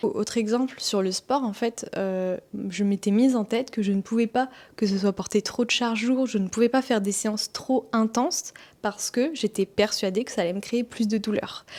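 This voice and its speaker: A plain, everyday voice with fairly even intonation and very even loudness. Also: woman, fairly high pitch for a woman, moderate pace. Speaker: wellness vlogger and massage therapist. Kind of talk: personal testimony vlog.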